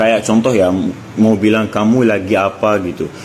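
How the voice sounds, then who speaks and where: Talking at a very fast pace with an Arabic accent, a man with a medium-pitched voice comes through over noticeable background noise. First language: Arabic (speaking Indonesian). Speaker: content creator. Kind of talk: casual vlog monologue. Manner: animated.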